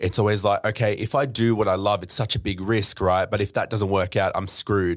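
A man with an Australian accent and fairly low pitch, talking at a fairly quick pace with fairly even intonation and hardly any pauses, on a very clean recording with a silent background. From Australia, Melbourne suburbs. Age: 20s. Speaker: DJ and entrepreneur. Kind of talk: casual interview chat.

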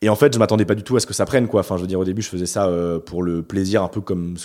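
Dark, mellow tone at a very fast pace, with ordinary pitch variation. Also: man. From France, Bordeaux. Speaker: YouTuber. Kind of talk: interview. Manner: hesitant, many fillers.

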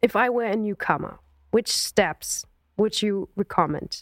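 A woman speaks at a medium pitch and a fairly slow pace with a German accent. The sound is dry and close, with no echo. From Germany. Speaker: podcast host and singer. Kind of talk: interview. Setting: video call.

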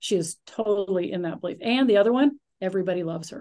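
A woman's ordinary speaking voice at medium pitch, with lively intonation at a moderate pace over a quiet background. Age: 60s. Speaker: speaker coach. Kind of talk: casual chat.

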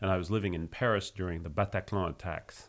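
Very deep, low male voice at a fairly quick pace with fairly even intonation, on a very clean recording with a silent background. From United States. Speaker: nonprofit co-founder. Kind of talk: interview. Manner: halting.

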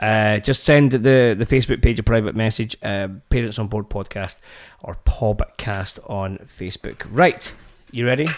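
A man's voice with a Scottish accent and big swings in loudness. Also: medium pitch for a man, ordinary pitch variation, moderate pace, very clean recording, silent background. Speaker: podcast host, parent. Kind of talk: casual chat.

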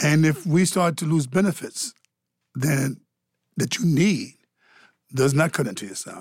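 Here a man speaks at a fairly high pitch and a moderate pace, with lively intonation. His loudness swings widely, and he takes long, frequent pauses. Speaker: podcast host. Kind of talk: moderated panel discussion. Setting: studio. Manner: warm, conversational.

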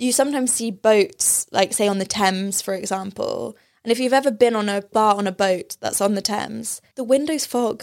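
A woman with a British accent, fairly high pitch, ordinary pitch variation, moderate pace and hardly any pauses. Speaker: podcast host. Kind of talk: casual chat.

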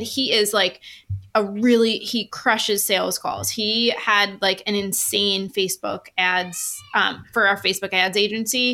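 A woman's bright, sharp voice with an American accent, medium in pitch, fairly even in intonation and fairly slow in pace. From New York. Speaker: sales funnel expert. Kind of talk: casual interview. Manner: direct.

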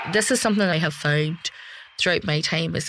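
On a very clean recording with a silent background, a woman with a Belfast accent talks at a fairly quick pace in a fairly low pitch and fairly even intonation. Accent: Belfast Northern Irish. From Belfast, Northern Ireland. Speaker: security journalist. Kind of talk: interview.

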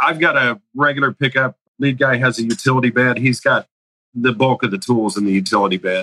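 A man with a normal speaking voice talks at a fairly quick pace, his medium pitch rising and falling in an ordinary way. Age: 40s. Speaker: masonry contractor. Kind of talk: coaching call.

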